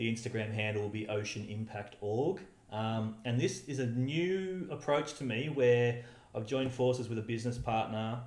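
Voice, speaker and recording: With an Australian accent, a man talks at medium pitch and a moderate pace with ordinary pitch variation, amid noticeable background noise and audible room echo. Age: 30s. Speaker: environmentalist and charity founder. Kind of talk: interview.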